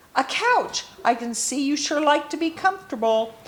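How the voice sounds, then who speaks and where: Using a put-on character voice, a woman swings very widely in pitch from a high base at a moderate pace. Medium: read story.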